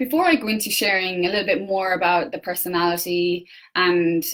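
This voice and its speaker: A woman's fairly low voice with an Irish accent. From Ireland. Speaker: personal development coach. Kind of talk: facebook live talk. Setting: facebook live. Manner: hesitant, many fillers.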